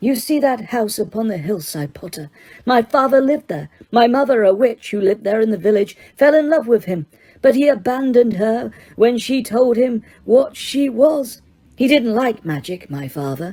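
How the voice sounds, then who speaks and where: A woman's soft-spoken, hissing character voice, put on at a fairly high pitch and a moderate pace. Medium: read story. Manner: soft, cold, menacing.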